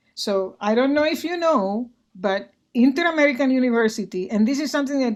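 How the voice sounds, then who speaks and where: A woman speaks with a Spanish accent at a moderate pace, with ordinary pitch variation. The recording is very clean, with a silent background. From Puerto Rico. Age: 70s. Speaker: retired physician and arts organization director. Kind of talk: interview conversation. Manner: many fillers and repetitions.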